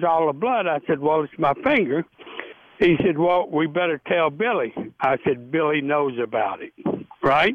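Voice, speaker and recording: The speaker is a man. He talks with a Tennessee accent. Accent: Southern US (Tennessee). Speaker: retired baseball pitcher. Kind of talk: interview storytelling. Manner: animated.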